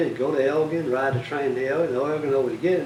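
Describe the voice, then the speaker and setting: A man speaks at a very fast pace with an American accent over noticeable background noise. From Bastrop County, Texas. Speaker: local historian, former tax collector. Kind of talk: interview answer.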